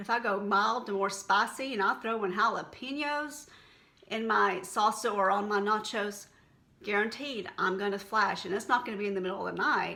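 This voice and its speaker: Heard with audible room echo, a woman in a Texan accent talks at a moderate pace in a medium pitch with ordinary pitch variation. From Texas. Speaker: health and wellness vlogger. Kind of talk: casual vlog talk to camera. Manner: conversational, unscripted.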